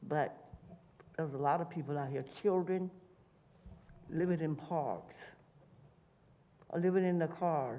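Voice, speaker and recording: A woman with a fairly low pitch talks at a moderate pace with ordinary pitch variation, and audible room echo surrounds her voice. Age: 80s+. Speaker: public commenter at city council. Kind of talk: public comment testimony. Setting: city council meeting.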